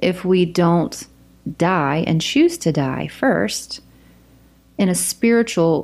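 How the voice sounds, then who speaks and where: Speaking at a very slow pace with a Southern US accent, a woman uses a fairly low pitch on a very clean recording with a silent background. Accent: Southern US accent, noticeable. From US South, South Carolina. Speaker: podcast guest sharing faith testimony. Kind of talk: testimony; casual chat.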